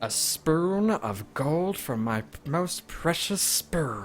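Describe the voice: A put-on character voice at a very slow pace. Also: man, fairly high pitch for a man.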